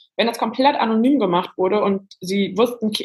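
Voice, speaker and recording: A woman's somewhat breathy voice with lively intonation. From western Germany, near Cologne. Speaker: journalist and author. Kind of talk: podcast interview.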